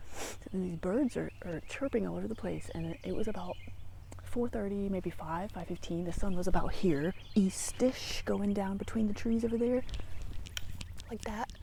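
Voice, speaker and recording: A woman's medium-pitched voice, dark and mellow in tone, with vocal fry. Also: ordinary pitch variation, moderate pace. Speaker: spiritual vlogger. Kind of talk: casual vlog monologue. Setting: outdoors by a tree. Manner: rambling, hesitant with fillers.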